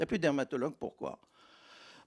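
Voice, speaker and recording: There's vocal fry in this man's voice. Everything is very clean, the background silent. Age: 70s. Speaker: doctor. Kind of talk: panel discussion.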